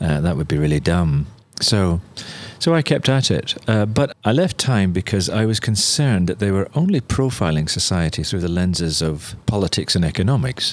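A man's very deep, low voice with very wide pitch swings at a moderate pace. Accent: Northern Irish. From Northern Ireland. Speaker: missionary and journalist. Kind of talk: interview.

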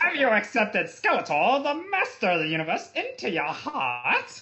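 A high-pitched, put-on character voice carries the clip. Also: moderate pace. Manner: villainous.

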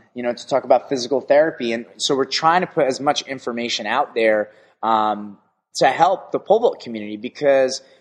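Against a quiet background, a man with an ordinary speaking voice talks at a medium pitch and a fairly quick pace with lively intonation. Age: 30s. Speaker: pole vault coach and podcast host. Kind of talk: casual chat.

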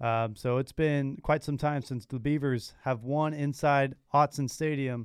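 Speaking in an ordinary speaking voice, a man with fairly high pitch and fairly even intonation goes at a fairly slow pace with hardly any pauses, on a very clean recording with a silent background. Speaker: student radio sports host. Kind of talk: casual sports talk show banter. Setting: studio. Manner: conversational, relaxed.

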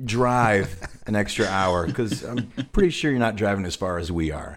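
A plain, everyday voice from a man, fairly low in pitch, with lively intonation at a moderate pace on a very clean recording with a silent background. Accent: American. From northern Illinois. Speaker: musician and podcast host. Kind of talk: casual chat.

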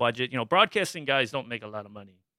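A man with a Midwestern American accent has a bright, sharp tone at a medium pitch with ordinary pitch variation, in a very clean recording with a silent background and a dry, close sound with no echo. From Michigan, US Midwest. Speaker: community media director. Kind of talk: interview.

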